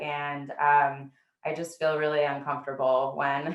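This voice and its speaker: Audible room echo carries a woman's very deep, low pitch and fairly even intonation. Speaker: policy researcher. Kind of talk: presentation. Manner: fast.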